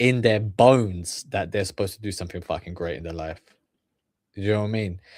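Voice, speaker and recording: On a very clean recording with a silent background, a man speaks at a moderate pace in a fairly low voice with ordinary pitch variation. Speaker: streamer reacting to videos. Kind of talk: reaction commentary, motivational talk. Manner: halting, many fillers and repetitions.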